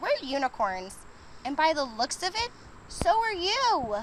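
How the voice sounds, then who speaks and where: A woman's put-on character voice, extremely high in pitch with very wide pitch swings, at a fairly slow pace over clear background noise. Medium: read story. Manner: friendly, welcoming.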